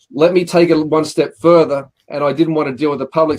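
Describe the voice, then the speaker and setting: A man's fairly high voice in an Australian accent at a moderate pace. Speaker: car leasing broker. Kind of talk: interview.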